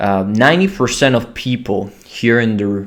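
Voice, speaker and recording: Speaking at a medium pitch, the man shows ordinary pitch variation. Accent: Italian. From Italy. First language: Italian. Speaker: business founder. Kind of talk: business talk to camera. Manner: hesitant with fillers.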